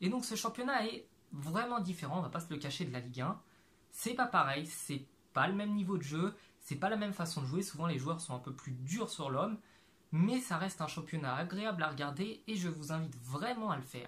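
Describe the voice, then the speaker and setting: Pitched high, a man speaks at a fairly quick pace with lively intonation. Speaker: YouTuber, amateur footballer; YouTuber. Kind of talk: explainer video monologue; explainer vlog talk. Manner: casual, filler-heavy. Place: home room. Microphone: lapel.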